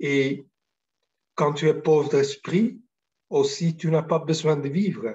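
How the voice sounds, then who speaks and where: A man talks in a somewhat breathy voice. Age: 60s. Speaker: spiritual teacher. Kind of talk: spiritual talk. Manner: halting, many hesitations.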